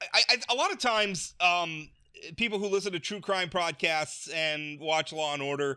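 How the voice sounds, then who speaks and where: In a very clean recording with a silent background, a man with an American accent talks in a bright, sharp tone. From US Midwest, North Dakota. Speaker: political talk show host. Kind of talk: podcast interview. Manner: halting, many fillers and restarts.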